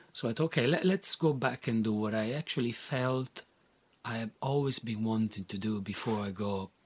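With an Italian accent, a man of medium pitch speaks at a moderate pace with ordinary pitch variation in a dry, close sound with no echo. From Italy. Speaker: artist. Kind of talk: interview. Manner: halting.

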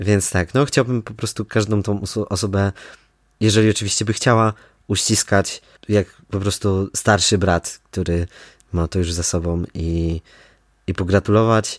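On a very clean recording with a silent background and a dry, close sound with no echo, a man speaks at a moderate pace with fairly even intonation. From Poland, Kraków (Nowa Huta). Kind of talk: casual interview. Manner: hesitant with many fillers.

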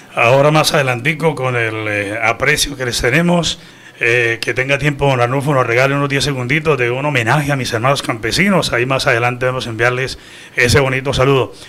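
A man's medium-pitched voice at a fairly quick pace over noticeable background noise. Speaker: radio news director and host. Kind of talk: radio news show. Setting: studio. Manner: animated.

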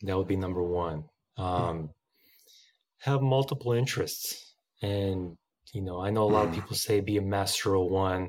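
The speaker keeps a moderate pace and ordinary pitch variation, with long, frequent pauses. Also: man, fairly low pitch for a man. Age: 30s. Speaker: musician and former teacher. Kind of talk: casual interview.

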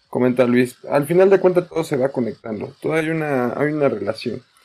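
Fairly high male voice with ordinary pitch variation. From Mexico. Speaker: nutritionist and high school teacher. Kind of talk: panel discussion. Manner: halting, many repetitions.

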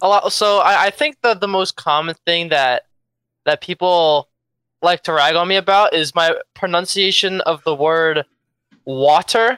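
Speech comes at a fairly slow pace with an American accent. The recording is very clean, with a silent background. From Philadelphia, US. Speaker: podcast guest. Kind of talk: casual chat. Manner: forceful, punchy.

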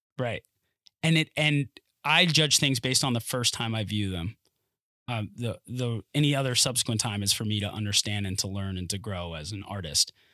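Speaking at a moderate pace, a man with an American accent has a bright, sharp tone. The recording is very clean with a silent background, and the sound is dry and close, with no echo. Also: medium pitch for a man. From North Carolina. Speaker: actor. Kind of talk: casual chat. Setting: studio.

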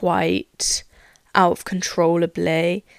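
A woman with a British accent is heard in a dry, close sound with no echo. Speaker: podcaster. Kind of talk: solo monologue podcast. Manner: excitable, rambling.

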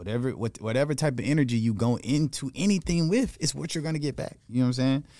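A man talks very fast with ordinary pitch variation, recorded very cleanly against a silent background. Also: medium pitch for a man. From Atlanta, Georgia. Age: 20s. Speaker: entertainer and club host. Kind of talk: casual interview chat. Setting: studio.

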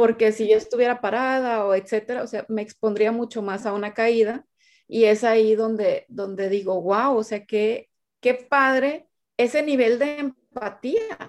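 A woman at fairly high pitch, fairly slow pace and fairly even intonation, on a very clean recording with a silent background. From Sinaloa, Mexico. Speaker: sales coach and speaker. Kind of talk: interview. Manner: halting.

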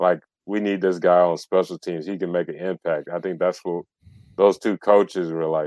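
With an American accent, a man speaks fairly quickly in a very deep, low voice of dark, mellow tone. His intonation is monotone and flat, and the sound is dry and close with no echo. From US South. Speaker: sports podcaster. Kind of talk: casual chat.

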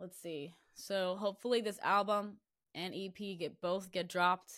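A woman with an American accent and a medium pitch, at a fairly slow pace, on a very clean recording with a silent background. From Florida. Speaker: singer-songwriter. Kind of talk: casual interview.

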